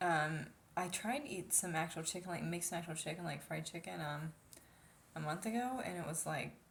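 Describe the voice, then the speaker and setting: Soft-spoken and fairly quick, a woman talks at a fairly low pitch with vocal fry and ordinary pitch variation. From United States. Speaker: vlogger. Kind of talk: casual vlog monologue. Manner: hesitant, many fillers.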